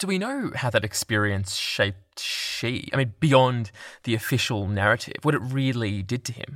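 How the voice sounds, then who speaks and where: With an ordinary speaking voice, a man speaks at a moderate pace and medium pitch with lively intonation in a very clean recording with a silent background. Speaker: news podcast host. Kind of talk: news podcast narration and interview.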